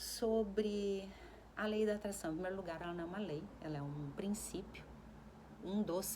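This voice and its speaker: A woman speaks at a moderate pace in a calm tone, with audible echo in the room. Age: 40s. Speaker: self-help vlogger. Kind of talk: casual reflective monologue. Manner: calm, conversational.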